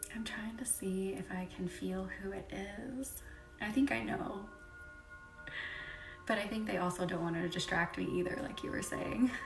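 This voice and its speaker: A soft-spoken voice with a calm tone, pausing long and often. Music plays in the background. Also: moderate pace. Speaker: Reiki healer hosting a live energy healing session. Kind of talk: live Reiki session chat with viewers. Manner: soft-spoken, calm.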